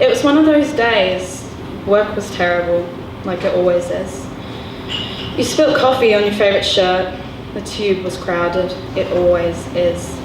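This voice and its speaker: Over noticeable background noise, a woman speaks at a fairly slow pace and medium pitch, with lively intonation and long, frequent pauses. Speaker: spoken word poet performing a poem. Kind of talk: slam poetry performance. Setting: live at a gallery venue.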